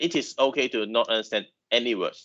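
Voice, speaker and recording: With a Chinese accent, a man speaks at a moderate pace and medium pitch. His pitch variation is ordinary, and the background is quiet. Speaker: university lecturer. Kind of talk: lecture. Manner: halting.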